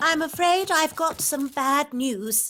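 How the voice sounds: In a cartoonish character voice, the speaker goes at a fairly slow pace over music in the background. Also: female-sounding voice, high pitch for a woman.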